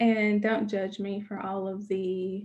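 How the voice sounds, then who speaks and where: Speaking very slowly in an Alabama accent, a woman has a dark, mellow tone and a somewhat breathy voice. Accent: Southern US (Alabama). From Alabama, US South. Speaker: writing coach and workshop leader. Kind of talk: interactive workshop presentation. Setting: video call.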